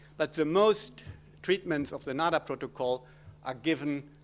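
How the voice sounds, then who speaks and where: A man with a German accent and lively intonation, in a very clean recording with a silent background. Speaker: gynecologist obstetrician. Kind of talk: conference talk. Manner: halting.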